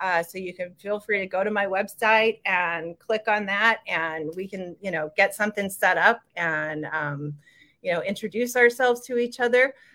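A woman's bright, sharp voice at a medium pitch with an American accent, on a very clean recording with a silent background. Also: ordinary pitch variation, moderate pace. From Denver, Colorado, US. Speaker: nurse and health coach. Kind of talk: casual interview. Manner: hesitant, many fillers.

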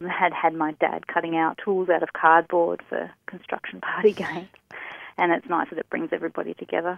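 Her pace fairly quick, a woman speaks with monotone, flat intonation and a fairly low pitch. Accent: Australian. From Tasmania, Australia. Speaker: small business owner, craft maker. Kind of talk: casual interview.

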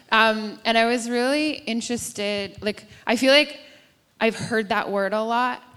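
A woman talks in an ordinary speaking voice. Her pitch variation is ordinary. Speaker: ministry school leader. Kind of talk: church panel discussion. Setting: stage with audience.

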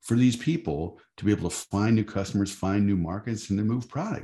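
A man's fairly low, dark, mellow voice with vocal fry and an American accent. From Michigan. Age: 50s. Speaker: advocacy group executive. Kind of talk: interview.

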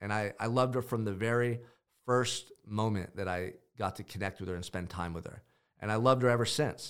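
A man with a Californian accent speaks in an animated tone at medium pitch, in a very clean recording with a silent background. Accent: Californian American. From US West Coast, Goleta, California. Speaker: podcast host and motivational coach. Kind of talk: motivational monologue.

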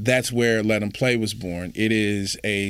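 Here is a man with a plain, everyday voice at medium pitch. He speaks at a fairly slow pace on a very clean recording with a silent background. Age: 40s. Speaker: youth sports nonprofit director, former teacher and coach. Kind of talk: interview.

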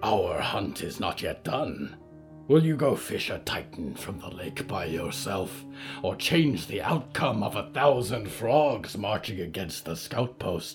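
A man puts on a character voice at a medium pitch while clear music plays in the background. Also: fairly slow pace. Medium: read story. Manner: formal, cold, unhurried.

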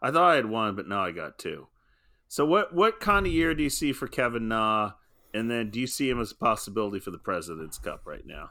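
A medium-pitched male voice, bright and sharp, with very wide pitch swings at a fairly quick pace on a very clean recording with a silent background. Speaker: podcast host. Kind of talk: casual banter about golf. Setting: podcast recording. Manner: joking, teasing.

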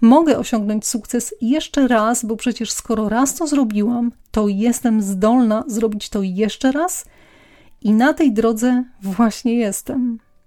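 A dark, mellow voice speaks at a very slow pace with ordinary pitch variation in a very clean recording with a silent background. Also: woman, fairly high pitch for a woman. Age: 40s. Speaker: podcast host, personal development coach. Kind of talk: personal story monologue.

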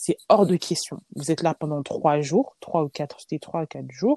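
A woman with a very deep, low voice and a dark, mellow tone speaks at a fairly slow pace with ordinary pitch variation, recorded dry and close with no echo. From France, Lyon. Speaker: charity founder and president. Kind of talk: casual interview.

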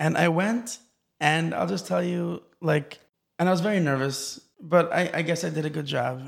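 This is a normal speaking voice from a man with an American accent. He talks at a moderate pace and fairly high pitch with ordinary pitch variation. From Los Angeles and Israel. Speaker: musician. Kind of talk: interview. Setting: studio.

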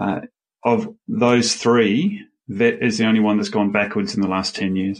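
A woman at a fairly slow pace with an Australian accent. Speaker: education sector chief executive. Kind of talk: interview.

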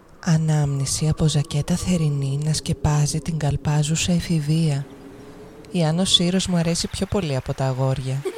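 Over noticeable background noise, a woman talks at a moderate pace in a very deep, low pitch with fairly even intonation. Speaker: narrator of own poem. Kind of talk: spoken-word poetry, performed monologue. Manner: rhythmic, incantatory, with clipped fragmented phrasing.

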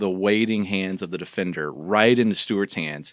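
A man with a Texan accent and a fairly low voice is heard on a very clean recording with a silent background. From Southeast Texas. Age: 40s. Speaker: church communications leader. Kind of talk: casual interview.

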